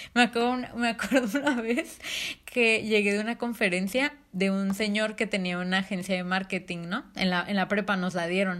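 Moderately paced, a woman talks in a plain, everyday voice. Her pitch is medium with ordinary variation. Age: young. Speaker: podcast co-host, marketing student. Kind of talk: casual chat.

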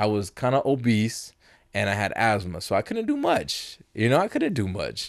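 Over a quiet background, a man with a normal speaking voice talks at a moderate pace and medium pitch. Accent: American. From Las Vegas, US. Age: 30s. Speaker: beatboxer and producer. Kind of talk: casual chat.

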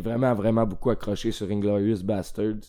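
A man in a Quebec accent, medium in pitch, with a dark, mellow tone and fairly even intonation. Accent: Québécois French. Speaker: film podcast guest. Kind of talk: casual chat.

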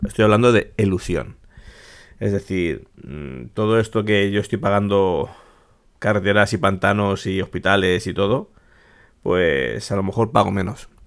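A man speaks at a fairly low pitch with vocal fry and ordinary pitch variation. His pace is fairly slow, with long, frequent pauses, on a very clean recording with a silent background. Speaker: podcast host. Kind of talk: casual monologue.

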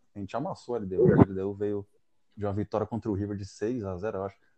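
A man's fairly low, dark, mellow voice with fairly even intonation against a quiet background. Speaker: football podcast co-host. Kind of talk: casual chat.

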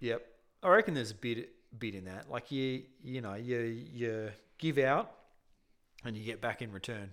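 A man with an Australian accent speaks with long, frequent pauses, ordinary pitch variation and big swings in loudness on a very clean recording with a silent background. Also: medium pitch for a man, moderate pace. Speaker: podcast co-host. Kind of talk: casual chat.

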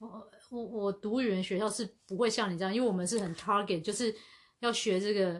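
Using a normal speaking voice, a woman talks at a fairly quick pace with a medium pitch and fairly even intonation. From Asia. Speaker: podcast co-host. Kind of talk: casual chat.

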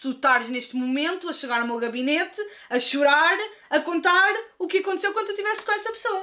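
This woman talks with lively intonation. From Lisbon, Portugal. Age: 20s. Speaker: YouTube film critic. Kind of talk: casual interview chat.

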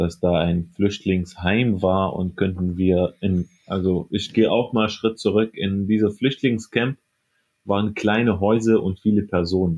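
Very slowly, a man talks at a fairly low pitch with fairly even intonation. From Syria, Aleppo. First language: Arabic (speaking German). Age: 20s. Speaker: radiology assistant. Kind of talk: interview.

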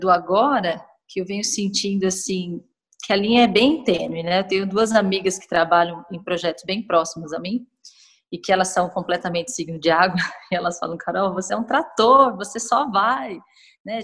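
Big swings in loudness mark this woman's medium-pitched voice. Her pitch varies in an ordinary way. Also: moderate pace. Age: 30s. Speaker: podcast guest. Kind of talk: casual chat.

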